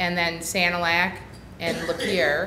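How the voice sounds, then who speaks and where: There is audible room echo as a woman speaks at a medium pitch. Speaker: county mental health agency director presenting. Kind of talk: presentation to county board. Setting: county board meeting room. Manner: fast; hesitant, many fillers.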